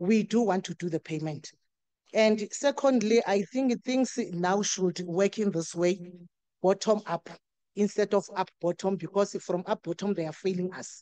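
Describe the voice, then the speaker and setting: Dry and close with no echo, the voice has a dark, mellow tone, ordinary pitch variation and a fairly slow pace. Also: woman, medium pitch for a woman. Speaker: community member at stakeholder workshop. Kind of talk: workshop floor contribution. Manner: loud; animated.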